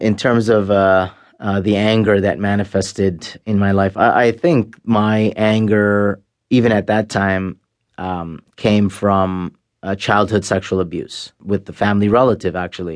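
With a Canadian accent, a man speaks at a fairly slow pace and a fairly low pitch. His intonation stays fairly even over a quiet background. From Canada. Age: 40s. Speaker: former jihadist. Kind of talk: interview testimony. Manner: halting.

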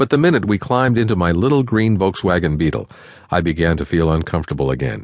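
A man speaks with very deep, low pitch, a warm tone and vocal fry. His pitch swings very widely, and the background is quiet. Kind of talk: audiobook narration. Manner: measured, warm and earnest, storytelling pace; formal, clear, even delivery.

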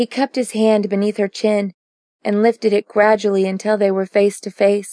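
This is a natural reading voice against a quiet background.

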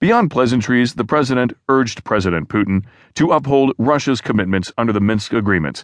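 Using an ordinary speaking voice, a man talks fairly quickly at a medium pitch with lively intonation and very even loudness, the sound dry and close with no echo against a quiet background. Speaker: audiobook news narrator. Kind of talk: formal news reading. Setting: studio. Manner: formal, even, measured newsreader delivery; steady, neutral, unemotional pacing.

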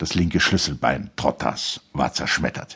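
A man is speaking. His voice has vocal fry. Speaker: audiobook narrator. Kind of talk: audiobook reading of a literary novel, dramatic narration. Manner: measured, formal; dramatic, expressive.

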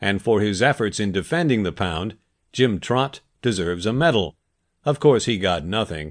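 In a plain, everyday voice, a man talks at a moderate pace and fairly low pitch with lively intonation against a quiet background. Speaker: audiobook narrator. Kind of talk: audiobook narration. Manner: steady, measured, clear, even-paced narrator.

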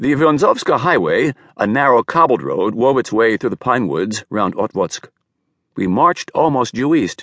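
At a moderate pace, a man with vocal fry speaks at a medium pitch with very wide pitch swings, in a dry, close sound with no echo. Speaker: audiobook narrator. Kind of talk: audiobook narration of a wartime memoir, read aloud in first person. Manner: measured, storytelling pace, reflective and wistful.

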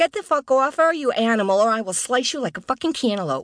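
A put-on character voice with a fairly high pitch rattles along at a very fast pace, with hissing over a quiet background. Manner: hissing, menacing.

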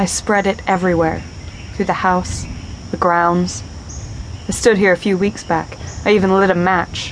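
A woman with an American accent at medium pitch, moderate pace, monotone, flat intonation, very even loudness and long, frequent pauses, over noticeable background noise. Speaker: female police detective character, voiced by narrator. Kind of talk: dramatic audiobook dialogue.

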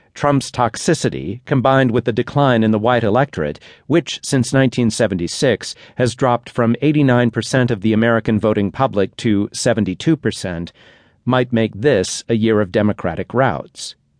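Over a quiet background, a man speaks at a medium pitch with ordinary pitch variation and very even loudness, the sound dry and close with no echo. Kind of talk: audiobook narration of a magazine essay. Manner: measured, formal, steady reading pace; crisp and authoritative, with dry emphasis on sharp phrases.

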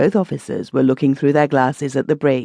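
An animated, dramatic tone comes through with a dry, close sound with no echo and a quiet background. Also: woman. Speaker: audiobook narrator. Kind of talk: audiobook narration of a classic sea adventure, with character dialogue. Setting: studio. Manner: dramatic, voicing gruff naval officers in clipped, stern tones; animated, shifting between narration and character voices.

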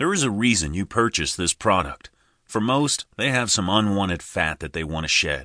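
A man with a fairly low pitch and a bright, sharp tone talks at a moderate pace with lively intonation, recorded dry and close with no echo against a quiet background. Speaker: audiobook narrator. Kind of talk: scripted audiobook narration as a motivational pep talk. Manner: urgent, motivational, emphatic; direct, coaching, imperative.

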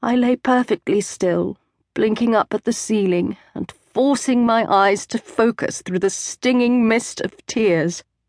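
A normal speaking voice from a woman, fairly high in pitch, at a fairly slow pace with ordinary pitch variation against a quiet background. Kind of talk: dramatic first-person fiction narration. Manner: hushed, suspenseful, building to panicked urgency, then soft and wistful.

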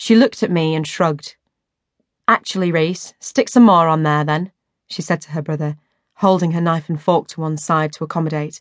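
A woman with a plain, everyday voice, fairly low pitch and ordinary pitch variation, over a quiet background. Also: moderate pace. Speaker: audiobook narrator. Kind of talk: audiobook narration, first-person memoir reading. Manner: steady, storytelling pace, with slight character voices for dialogue.

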